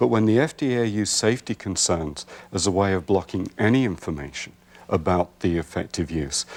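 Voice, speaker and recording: A man speaks at a fairly quick pace with a very deep, low pitch and lively intonation. The recording is very clean, with a silent background. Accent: English. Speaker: herbalist. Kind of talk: TV interview.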